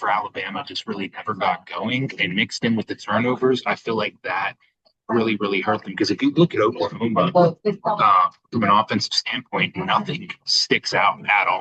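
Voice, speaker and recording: A man with an American accent, bright and sharp in tone, at a moderate pace. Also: dry, close sound with no echo. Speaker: sports podcast co-host. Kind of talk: casual chat. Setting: cafe. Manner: quieter than usual.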